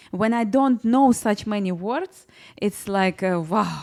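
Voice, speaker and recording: In a Russian accent, a woman speaks at a very slow pace with a fairly high pitch and lively intonation. The very clean recording has a silent background and a dry, close sound with no echo. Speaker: personal branding expert. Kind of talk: interview. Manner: halting.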